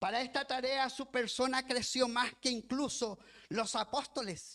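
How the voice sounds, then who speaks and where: Projecting a raised voice, a man speaks fairly slowly at an extremely high pitch with a bright, sharp tone and fairly even intonation. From lived in Chile as a child, raised elsewhere. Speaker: pastor and missionary. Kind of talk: sermon. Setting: church. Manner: reading from notes.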